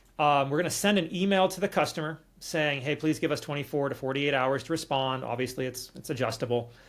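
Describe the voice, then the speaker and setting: Here a man with an American accent talks very fast. The recording is very clean with a silent background, and his pitch variation is ordinary. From California. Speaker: automation developer. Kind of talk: tutorial walkthrough.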